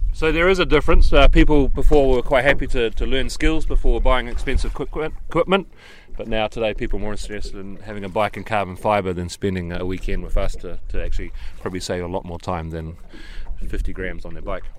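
A man talks at a very fast pace, his loudness swinging widely from moment to moment. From New Zealand. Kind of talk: casual interview.

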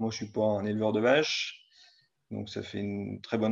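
In a normal speaking voice, the speaker goes at a fairly slow pace. The background is quiet. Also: man. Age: 30s. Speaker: farmer. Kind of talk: casual chat. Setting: live stream.

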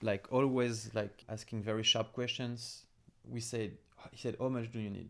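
On a very clean recording with a silent background, a man talks with a French accent at a fairly slow pace. His pitch is medium and his intonation monotone and flat. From France, Paris suburbs. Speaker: entrepreneur. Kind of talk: interview. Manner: halting.

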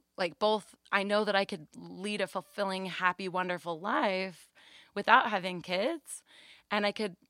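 A woman at medium pitch with a bright, sharp tone and fairly even intonation, moderate pace, dry, close sound with no echo, very clean recording and silent background. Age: 20s. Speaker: babysitter. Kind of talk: casual chat. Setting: home closet, recorded.

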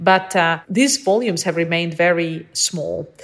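A woman with an American accent and a fairly low pitch has a normal speaking voice with ordinary pitch variation. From Ukraine, US from teens. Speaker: politics lecturer. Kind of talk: expert interview.

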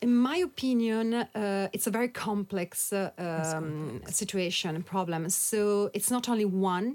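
This woman speaks with an Italian accent. Her pace is moderate. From Italy. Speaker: author and activist. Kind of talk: interview.

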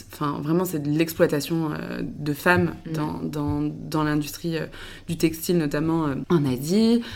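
A woman's very deep, low voice with ordinary pitch variation, at a fairly slow pace amid audible room echo. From western France (Le Mans, Angers). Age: 20s. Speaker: tech startup co-founder. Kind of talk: casual interview chat. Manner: hesitant, many fillers.

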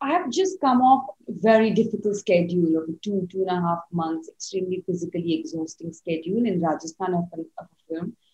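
A woman's dark, mellow, somewhat breathy voice at a medium pitch, fairly quick with hardly any pauses and ordinary pitch variation. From India. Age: 30s. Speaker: cinematographer. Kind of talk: casual interview.

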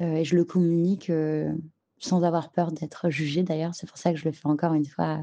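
Over a quiet background, a woman talks in a very deep, low voice with a dark, mellow tone. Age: 30s. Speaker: mother. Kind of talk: testimony.

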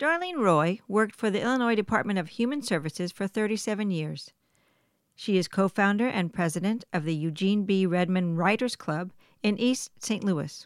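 A woman uses an ordinary speaking voice at medium pitch, with lively intonation and a moderate pace. The recording is very clean, with a silent background. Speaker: podcast host. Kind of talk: casual chat.

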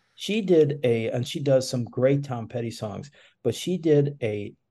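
Against a quiet background, a man with an American accent speaks at a medium pitch in a dark, mellow tone that is somewhat breathy, with ordinary pitch variation. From Chicago. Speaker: music event organizer. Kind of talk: casual interview. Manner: halting, many fillers.

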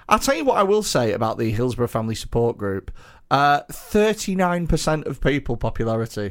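A man with a British accent speaks in a fairly high voice at a fairly quick pace. His pitch swings very widely. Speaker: comedian and podcast host. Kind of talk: casual banter. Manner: jokey, self-praising.

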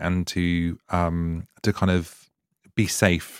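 In a southern English accent, a man speaks with a very deep, low pitch, in a dry, close sound with no echo on a very clean recording with a silent background. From eastern England. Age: 30s. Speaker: podcast host. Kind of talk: casual interview.

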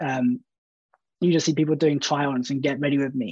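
A man with a southern English accent speaks at a fairly quick pace and fairly high pitch. The sound is dry and close with no echo, over a quiet background. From Brighton, England. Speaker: social media content producer. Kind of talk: panel discussion.

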